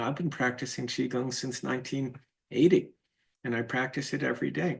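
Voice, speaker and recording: Medium-pitched male voice with vocal fry, at a fairly quick pace. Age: 60s. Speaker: teacher of Chinese medicine and spiritual course. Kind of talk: lecture.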